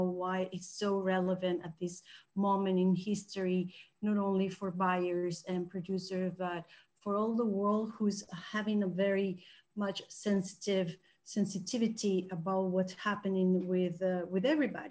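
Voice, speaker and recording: Monotone, flat intonation marks this woman's speech. She keeps a moderate pace. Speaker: presenter. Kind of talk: presentation talk. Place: home room. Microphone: webcam.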